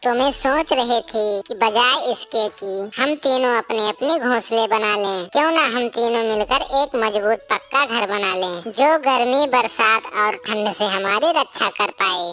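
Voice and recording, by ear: A woman in a cartoonish character voice speaks with a fairly high pitch at a moderate pace, with hardly any pauses, over light background noise.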